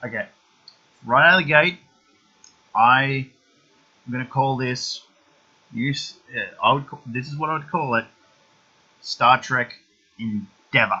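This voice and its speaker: Using an Australian accent, a man speaks at a fairly slow pace with long, frequent pauses, ordinary pitch variation and big swings in loudness. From eastern Australia. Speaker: YouTube film reviewer. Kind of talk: casual vlog monologue. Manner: halting, many fillers and restarts.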